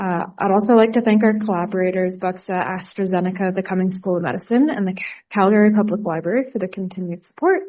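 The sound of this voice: At a fast pace with few pauses, a woman talks at medium pitch and ordinary pitch variation.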